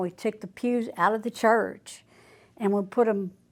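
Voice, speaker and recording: The speaker is a woman with a Louisiana accent. Her intonation is monotone and flat. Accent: Southern US, Louisiana. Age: 70s. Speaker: churchgoer. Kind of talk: testimony.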